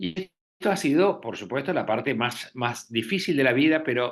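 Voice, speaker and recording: A man with an Italian accent speaks at a fairly slow pace in a medium pitch, his voice swinging very widely up and down against a quiet background. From Argentina, Buenos Aires. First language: Italian (speaking Spanish). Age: 70s. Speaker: physician and author. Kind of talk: lecture. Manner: halting, frequent repetitions.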